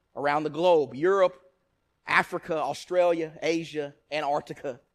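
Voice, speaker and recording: A man with an East Texas accent, fairly high in pitch, with fairly even intonation, in a very clean recording with a silent background. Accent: East Texas Southern US. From East Texas (Nacogdoches). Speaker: preacher. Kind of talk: sermon.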